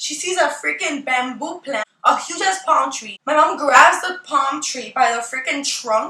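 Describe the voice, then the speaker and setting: A woman in a raised, projected voice speaks at a fairly slow pace with lively intonation as music plays in the background. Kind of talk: storytime talk to camera. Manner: casual, animated, profane.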